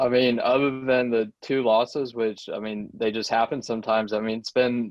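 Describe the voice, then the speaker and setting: A man speaks with a Southern US accent at medium pitch. His intonation is monotone and flat at a moderate pace. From US South, South Carolina (Charleston). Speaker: football fan. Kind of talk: casual chat.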